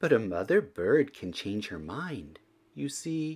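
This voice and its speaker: A man's put-on character voice at medium pitch, with very wide pitch swings and a fairly slow pace, on a very clean recording with a silent background. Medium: read story.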